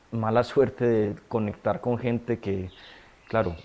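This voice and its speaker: A man's fairly low, dark and mellow voice, fairly slow, with fairly even intonation. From Colombia, Medellín area. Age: 30s. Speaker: data scientist in recovery from addiction. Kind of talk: testimony.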